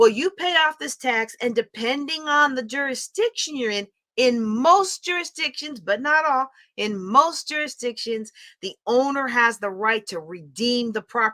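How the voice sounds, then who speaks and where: A woman's high-pitched, animated voice at a moderate pace with very wide pitch swings, recorded dry and close with no echo. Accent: American. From US East Coast (New York / Pennsylvania). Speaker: real estate investing educator. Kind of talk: lecture.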